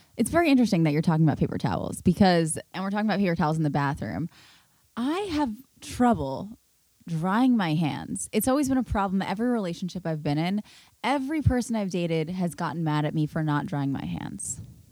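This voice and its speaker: Speaking very fast in an American accent, a woman with a fairly low pitch and a dark, mellow tone swings her pitch very widely. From New York City. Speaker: podcast host. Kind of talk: casual chat. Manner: soft-spoken.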